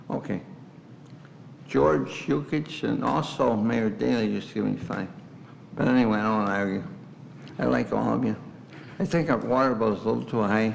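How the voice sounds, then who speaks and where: Lively intonation at a moderate pace, broken by long, frequent pauses, with audible room echo. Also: man, fairly low pitch for a man. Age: 80s+. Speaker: resident giving public comment. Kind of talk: public comment at council meeting. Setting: village board meeting room. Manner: insistent, interrupting.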